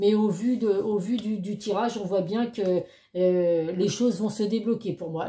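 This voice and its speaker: A woman speaks in a dark, mellow tone that is somewhat breathy. Her intonation stays fairly even. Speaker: tarot card reader. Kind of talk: tarot reading monologue. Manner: fast; hesitant, many fillers.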